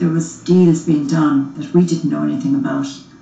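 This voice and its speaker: A woman with an Irish accent at a moderate pace, with audible room echo. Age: 50s. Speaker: murder victim's widow. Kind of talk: interview testimony.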